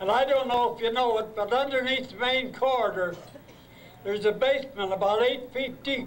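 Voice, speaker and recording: Here a man speaks at an extremely high pitch and a fairly quick pace. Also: fairly even intonation. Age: 80s+. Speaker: retired high school principal. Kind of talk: reunion speech to former students. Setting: live event hall.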